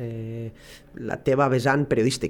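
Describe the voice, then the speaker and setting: This man has a medium-pitched voice. He talks at a moderate pace. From Barcelona, Catalonia. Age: 30s. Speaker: football coach. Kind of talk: interview. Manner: halting.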